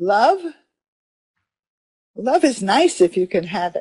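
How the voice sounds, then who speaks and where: Lively in intonation, a woman with a medium pitch and a dark, mellow tone speaks at a fairly slow pace. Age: 80s+. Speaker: interviewee. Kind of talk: interview answer.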